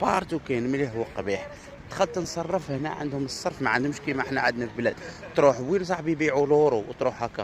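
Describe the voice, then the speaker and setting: A man's fairly high voice at a very fast pace, ordinary pitch variation, and noticeable background noise. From Algeria. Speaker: Algerian visitor vlogger. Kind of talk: casual vlog monologue. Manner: animated.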